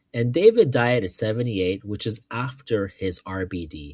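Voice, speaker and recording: A man's somewhat breathy voice at medium pitch and a moderate pace. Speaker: finance youtuber. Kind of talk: tutorial. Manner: casual, hesitant with fillers.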